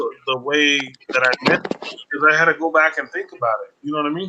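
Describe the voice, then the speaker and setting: This man's voice is fairly high. He keeps his intonation fairly even. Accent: American. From Colorado, US. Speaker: live-stream vlogger. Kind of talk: casual live-stream chat. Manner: fast.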